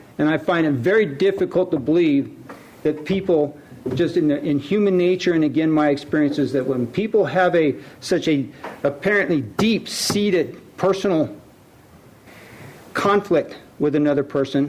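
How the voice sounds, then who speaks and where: Over noticeable background noise, a man with a fairly high pitch talks at a moderate pace with ordinary pitch variation, very even loudness and long, frequent pauses. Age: 60s. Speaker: city council member. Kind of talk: council meeting debate. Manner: halting.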